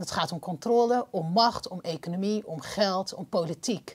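A somewhat breathy woman talks at a moderate pace, her pitch varying in an ordinary way. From Netherlands. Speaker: podcast host. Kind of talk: interview. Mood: earnest, critical. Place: studio. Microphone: lapel.

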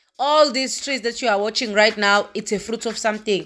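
A woman talks with ordinary pitch variation. Faint music plays in the background. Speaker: traveler vlogger. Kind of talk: casual vlog chat. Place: car. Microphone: phone near.

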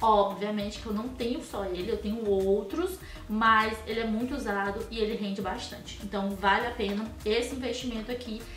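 Over faint background music and audible room echo, a woman with a fairly high pitch talks in an animated tone at a moderate pace, with hardly any pauses. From Brazil. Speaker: professional makeup artist and beauty youtuber; beauty vlogger. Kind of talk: product review vlog.

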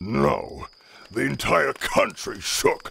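A man puts on a character voice. It sounds raspy. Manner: solemn, formal.

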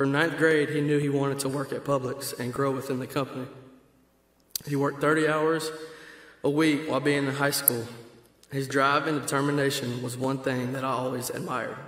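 A man with a Georgia accent speaks in a flat monotone at a fairly quick pace. He leaves long, frequent pauses, and the room echo is audible. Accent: Southern American (Georgia). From Georgia, US South. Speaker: friend of the deceased. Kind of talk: reading a prepared eulogy. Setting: church funeral service. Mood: solemn, grieving. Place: church.

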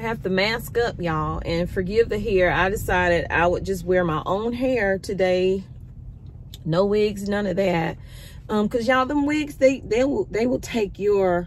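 Light background noise accompanies a woman speaking at a fairly slow pace with ordinary pitch variation. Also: dry sound with no echo. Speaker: vlogger. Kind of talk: casual vlog chat. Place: car. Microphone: phone near.

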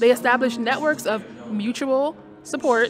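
A woman's voice with ordinary pitch variation, dry with no echo, over clear music in the background. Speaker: travel vlogger. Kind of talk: casual vlog chat. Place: hall. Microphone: phone near.

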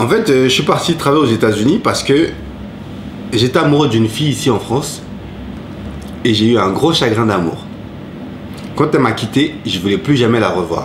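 At a moderate pace with long, frequent pauses, a man keeps a very even loudness over noticeable background noise. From Ivory Coast, then Paris suburbs from age 8. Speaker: cook and former rapper; interviewee. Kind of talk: interview. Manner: halting. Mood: relaxed, reflective storytelling. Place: home room.

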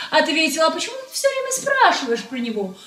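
In a room with audible echo, a woman speaks at an extremely high pitch. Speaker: actress telling a story. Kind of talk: dramatic storytelling. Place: kitchen. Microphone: phone near.

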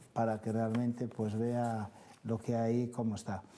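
Light background noise sits behind a man talking at a moderate pace and a medium pitch. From Galicia. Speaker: city councillor. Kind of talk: studio interview answering viewer calls. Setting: TV studio. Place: studio.

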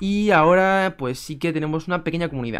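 This man has a high voice with ordinary pitch variation. Behind him the background is quiet. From Spain. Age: 20s. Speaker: chess YouTuber. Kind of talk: casual vlog to camera. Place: home room. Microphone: webcam.

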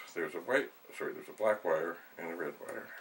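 Light noise is audible in the background. The voice belongs to a man. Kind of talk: tutorial. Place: home room.

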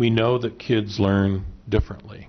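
In an American accent, a man with an unremarkable speaking voice talks at a fairly low pitch with fairly even intonation. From central Illinois. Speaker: school board member, candidate; candidate. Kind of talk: candidate forum answers. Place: meeting room. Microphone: podium.

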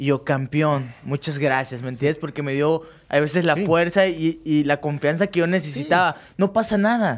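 A man's fairly high-pitched voice with a Mexican accent. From Mexico (Cancún); Mexico. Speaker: professional boxer; guest. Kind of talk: casual interview. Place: studio. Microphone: studio mic.

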